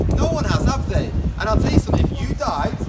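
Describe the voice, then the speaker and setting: A man's fairly quick speech over loud background noise. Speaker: street preacher. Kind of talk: street preaching, open-air address to passers-by. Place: street.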